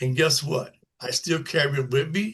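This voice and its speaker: Ordinary pitch variation colors a man's speech, delivered at a moderate rate. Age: 60s. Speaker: formerly incarcerated person, panel guest. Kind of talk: panel discussion. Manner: halting, many filler phrases.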